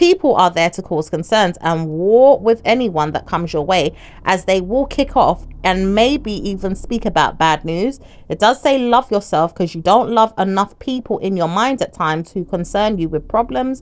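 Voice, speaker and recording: A woman's medium-pitched voice moves with lively intonation. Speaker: tarot reader. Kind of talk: tarot reading monologue. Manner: fast.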